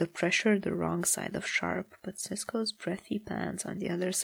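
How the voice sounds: Natural voice reading aloud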